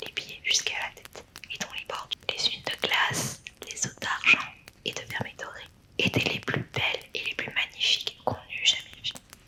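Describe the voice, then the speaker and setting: Noticeable background noise accompanies a whisper delivered at a fairly slow pace. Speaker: storyteller. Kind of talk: bedtime story reading. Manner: whispered.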